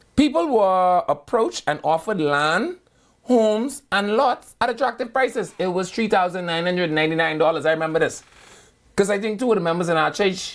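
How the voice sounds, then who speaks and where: In a very clean recording with a silent background, a woman with a fairly low pitch and vocal fry talks at a fairly quick pace, her pitch swinging very widely. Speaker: radio talk show host. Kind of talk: casual talk radio chat.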